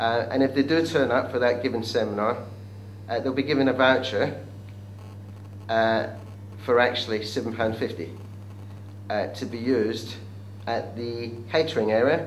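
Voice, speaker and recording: A man talks at a moderate pace with medium pitch and fairly even intonation. Long, frequent pauses break his speech, with room echo and background noise audible. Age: 60s. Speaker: business event organiser. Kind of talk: interview pitch. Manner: hesitant with fillers.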